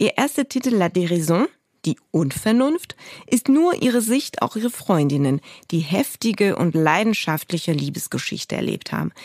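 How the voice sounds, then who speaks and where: Moving through very wide pitch swings at a moderate pace, a woman speaks in a dry, close sound with no echo. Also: medium pitch for a woman. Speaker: podcast host. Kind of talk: scripted presenting.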